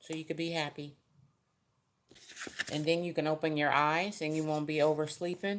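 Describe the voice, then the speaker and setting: A woman with a very deep, low pitch speaks in a flat monotone at a moderate pace, leaving long, frequent pauses. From US West Coast, San Francisco Bay Area. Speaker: tarot reader. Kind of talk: live-stream tarot reading. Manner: loud; casual.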